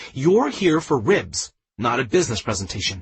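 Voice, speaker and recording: A man puts on a growling character voice at a medium pitch, with very wide pitch swings. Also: moderate pace. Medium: read story. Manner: teasing.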